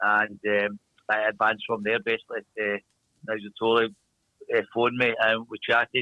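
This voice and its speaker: At a medium pitch, a man talks at a fairly quick pace in a monotone with flat intonation, taking long, frequent pauses. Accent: strong Glaswegian. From Scotland, Glasgow. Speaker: speedway team manager. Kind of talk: interview.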